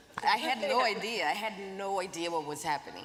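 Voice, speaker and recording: Fairly quick speech from a woman with ordinary pitch variation, audible room echo and noticeable background noise. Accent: Portuguese. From Brazil. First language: Portuguese. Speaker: ballet dancer and activist. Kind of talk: panel discussion. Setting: stage with audience.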